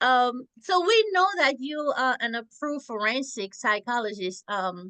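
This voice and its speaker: The voice has a bright, sharp tone and a strong French accent, with very wide pitch swings at a fairly slow pace. The sound is dry and close with no echo. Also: woman, high pitch for a woman. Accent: thick French. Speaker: podcast host. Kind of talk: interview. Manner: talkative.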